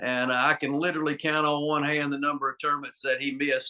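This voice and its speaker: Speaking at a fairly quick pace in a Southern US accent, a man uses a fairly high, bright, sharp voice with monotone, flat intonation. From US South, North Carolina. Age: 50s. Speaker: arm wrestler. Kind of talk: interview.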